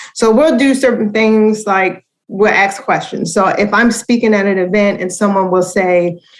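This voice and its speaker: A woman speaks fairly slowly with an American accent. Her pitch sits in the medium range, with ordinary variation. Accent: Baltimore accent, comes through when relaxed. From Baltimore, Maryland. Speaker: educator and foundation director. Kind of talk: podcast interview.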